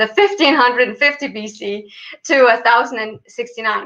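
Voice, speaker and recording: A woman with a fairly high voice speaks with a non-native accent. Her pitch variation is ordinary. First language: not English. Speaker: PhD student in Egyptology. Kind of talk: interview. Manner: halting, many fillers.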